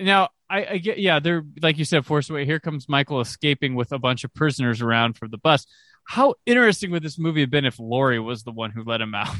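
A man talks at a very fast pace with hardly any pauses, in a fairly high voice with a bright, sharp tone. His intonation is lively, and the sound is dry and close with no echo. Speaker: film podcaster. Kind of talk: casual chat.

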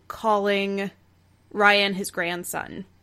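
A woman speaks at a very slow pace in an American accent, her pitch medium. The recording is very clean, with a silent background. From Texas. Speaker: improv performer, podcast guest. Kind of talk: casual chat.

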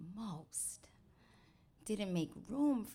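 Speaking at a very slow pace, a woman talks in a New York accent. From New York, the Bronx. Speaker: storyteller. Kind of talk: personal testimony. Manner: animated.

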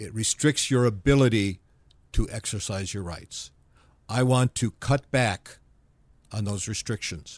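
Against a quiet background with a dry, close sound and no echo, a man with an American accent speaks fairly slowly in a fairly low pitch, with ordinary pitch variation, big swings in loudness and long, frequent pauses. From US Midwest, Dearborn, Michigan. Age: 60s. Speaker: libertarian political activist. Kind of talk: interview conversation.

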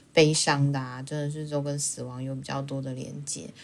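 A woman speaks at a fairly quick pace. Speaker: podcast co-host. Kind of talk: casual chat.

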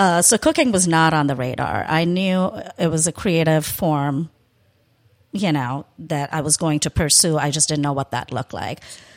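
In a very clean recording with a silent background, a woman with an American accent talks in a very deep, low voice. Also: ordinary pitch variation, moderate pace, dry, close sound with no echo. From India. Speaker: restaurateur and chef. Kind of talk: casual interview.

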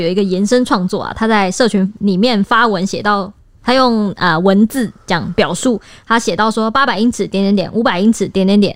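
Hers is a plain, everyday voice, medium in pitch, with ordinary pitch variation at a moderate pace. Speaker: podcast co-host, news reporter. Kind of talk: casual discussion.

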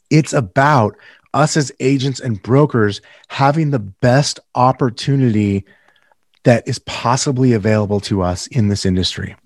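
A man with a Californian accent talks at a moderate pace and medium pitch with ordinary pitch variation, in a dry, close sound with no echo against a quiet background. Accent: General American (Californian). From Northern California. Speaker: real estate team leader and podcast host. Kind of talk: casual interview.

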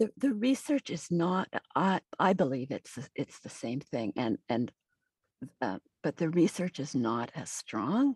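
A woman with a Canadian accent speaks at a fairly slow pace and a fairly low pitch, her pitch swinging very widely. The sound is dry and close with no echo, over a quiet background. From Manitoba, Canada. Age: 60s. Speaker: retired nursing professor and author. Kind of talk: interview.

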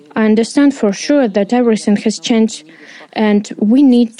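In a Ukrainian accent, a woman speaks at fairly high pitch with a dark, mellow tone. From eastern Ukraine, Donetsk region. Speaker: interpreter voicing a displaced coach. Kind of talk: dubbed testimony.

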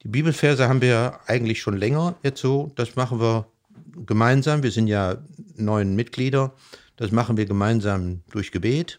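At a moderate pace, a man speaks in a plain, everyday voice with a medium pitch and ordinary pitch variation. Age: 60s. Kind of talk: casual interview. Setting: living room at home.

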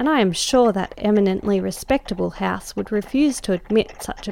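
Someone is reading aloud in a natural voice.

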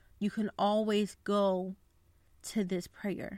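A woman in monotone, flat intonation, dry and close with no echo, on a very clean recording with a silent background. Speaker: podcast host. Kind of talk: devotional podcast, reading prayer aloud; fervent prayer, earnest and heartfelt, spoken as a petition for persecuted believers. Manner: warm, earnest, sincere; conversational, friendly, somewhat casual with fillers.

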